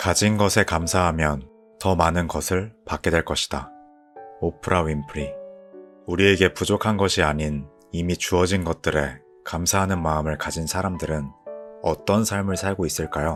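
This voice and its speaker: A man's very deep, low voice, calm and soothing in tone, with fairly even intonation, a moderate pace and music in the background. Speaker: healing radio host. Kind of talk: motivational quote and essay reading. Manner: calm, soothing.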